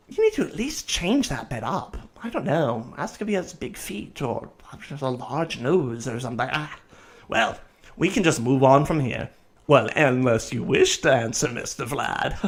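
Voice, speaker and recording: A man's put-on character voice, fairly high-pitched, with lively intonation at a moderate pace. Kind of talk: radio talk show host. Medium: audio drama. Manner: genteel, fussy.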